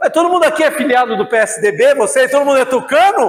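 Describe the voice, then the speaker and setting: At a moderate pace, a man speaks in an extremely high pitch. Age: 60s. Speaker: priest and lecturer. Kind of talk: lecture. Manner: animated.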